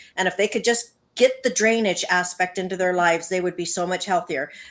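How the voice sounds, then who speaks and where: A plain, everyday voice from a woman, medium in pitch with ordinary pitch variation, over a quiet background. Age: 60s. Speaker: patient sharing testimony. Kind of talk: testimony.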